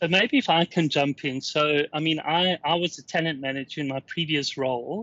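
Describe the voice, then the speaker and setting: A man with a South African accent at a fairly high pitch, moderate pace with hardly any pauses, and ordinary pitch variation. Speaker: workplace analytics customer success manager. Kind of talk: interview.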